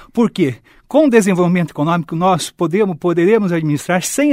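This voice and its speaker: In a very clean recording with a silent background, the sound is dry and close with no echo, and the intonation is lively. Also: man. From Londrina, Paraná, Brazil. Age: 50s. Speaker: mayoral candidate. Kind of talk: interview.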